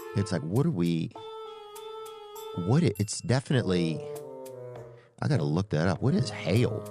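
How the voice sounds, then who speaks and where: A man with an American accent speaks at a fairly low pitch with lively intonation while music plays in the background. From Louisiana, Southern US. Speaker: stand-up comedian and podcast host. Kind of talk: comedic podcast storytelling. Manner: casual, rambling, humorous.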